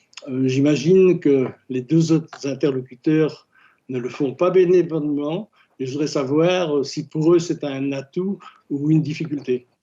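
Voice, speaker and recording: Here a man speaks in a fairly high pitch with fairly even intonation. His tone is dark and mellow. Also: fairly slow pace. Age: 70s. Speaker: volunteer, former journalist. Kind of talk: casual chat.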